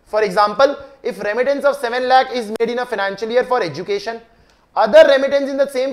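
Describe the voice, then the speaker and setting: Over a quiet background, a man talks at a very fast pace with an extremely high pitch and ordinary pitch variation. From India. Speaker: chartered accountant tax teacher; tax lecturer. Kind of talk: lecture.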